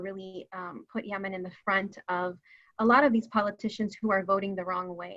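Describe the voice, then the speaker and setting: A woman with a Californian accent talks at a moderate pace and a medium pitch, keeping her intonation fairly even. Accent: Californian American. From San Francisco, US. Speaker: community advocate, founder of an advocacy group. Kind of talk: panel discussion.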